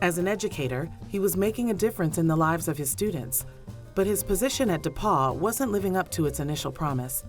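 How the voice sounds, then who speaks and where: Music plays behind a woman who talks very fast at a fairly low pitch, her voice swinging very widely up and down. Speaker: documentary narrator. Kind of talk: documentary narration.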